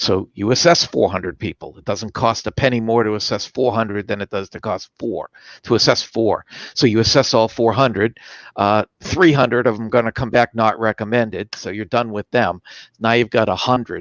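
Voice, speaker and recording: A plain, everyday voice of a man, medium pitch, ordinary pitch variation, moderate pace. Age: 60s. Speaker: sales performance expert. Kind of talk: interview.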